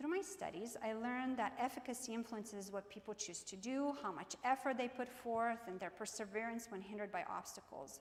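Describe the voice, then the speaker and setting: At a fairly quick pace, a woman with a Croatian accent speaks in a fairly high pitch with lively intonation. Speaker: keynote speaker, business professor. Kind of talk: keynote speech. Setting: stage with audience. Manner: animated.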